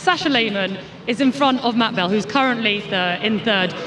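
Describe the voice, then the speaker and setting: A woman with a fairly high pitch and lively intonation talks at a moderate pace, with audible room echo and noticeable background noise. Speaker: pit lane reporter. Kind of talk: live interview. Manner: loud.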